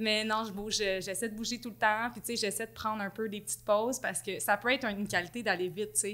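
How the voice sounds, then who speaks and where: A woman talks at a very fast pace with a fairly high pitch and a bright, sharp tone. The recording is very clean, with a silent background. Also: hardly any pauses. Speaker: marketing and content director. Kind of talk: casual interview chat. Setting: boutique studio. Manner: energetic.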